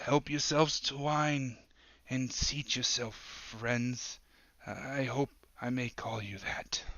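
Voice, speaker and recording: A raspy put-on character voice from a man, medium pitch, very slow pace, fairly even intonation. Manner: welcoming, mysterious.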